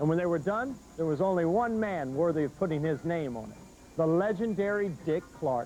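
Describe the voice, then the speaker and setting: With music in the background, the speech runs at a fairly quick pace with lively intonation. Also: man. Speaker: infomercial host. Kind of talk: TV infomercial pitch. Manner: upbeat, enthusiastic.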